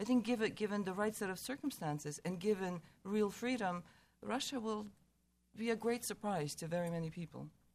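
A woman with an American accent and an unremarkable speaking voice, medium in pitch, at a fairly quick pace. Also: ordinary pitch variation. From USA. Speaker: Ukraine expert. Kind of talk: panel discussion.

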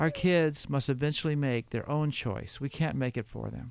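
In an ordinary speaking voice, a man talks at a moderate pace with ordinary pitch variation on a very clean recording with a silent background. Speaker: Bible teacher. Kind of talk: Bible teaching. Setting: studio.

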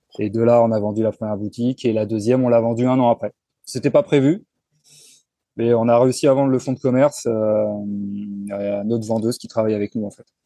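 A man at a fairly quick pace with long, frequent pauses and big swings in loudness, dry and close with no echo, music in the background. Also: medium pitch for a man, fairly even intonation. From Paris region, France (Seine-et-Marne). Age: 40s. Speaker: renovation contractor and property investor. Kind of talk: casual interview. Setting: remote call from seaside in Spain.

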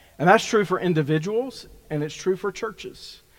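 This man has a plain, everyday voice, talking at a moderate pace with ordinary pitch variation. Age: 50s. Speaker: pastor. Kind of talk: sermon. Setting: church.

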